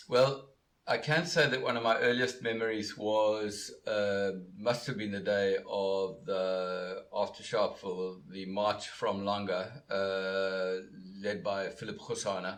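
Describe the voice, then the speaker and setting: A man's fairly low voice at a very slow pace, with ordinary pitch variation and audible room echo. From South Africa, Cape Town. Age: 60s. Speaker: law professor. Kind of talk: interview. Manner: halting, many filler words.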